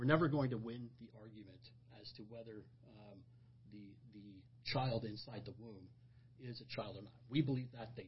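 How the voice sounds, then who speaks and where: A man speaks at medium pitch and a moderate pace. His voice is somewhat breathy, with ordinary pitch variation. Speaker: pastor. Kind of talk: religious discussion podcast. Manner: halting, repeats words.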